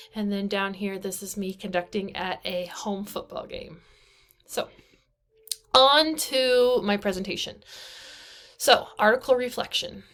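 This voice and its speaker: A woman with a Midwestern American accent talks at a fairly slow pace, with long, frequent pauses. Her loudness swings widely. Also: medium pitch for a woman, ordinary pitch variation. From US Midwest, eastern Kansas. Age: 20s. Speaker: band director and graduate student. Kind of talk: recorded class presentation. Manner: casual, with frequent fillers.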